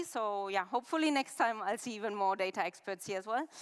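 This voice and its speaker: The speech moves at a moderate pace with ordinary pitch variation, in a dry, close sound with no echo. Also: woman. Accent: German. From Germany. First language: German. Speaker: head of UX research, conference speaker. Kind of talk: conference talk. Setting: stage with live and online audience. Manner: interactive, conversational.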